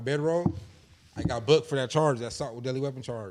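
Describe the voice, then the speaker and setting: A man with a medium-pitched voice talks at a very fast pace over noticeable background noise. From Inland Empire, Southern California. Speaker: content creator. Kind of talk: interview storytelling. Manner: casual slangy.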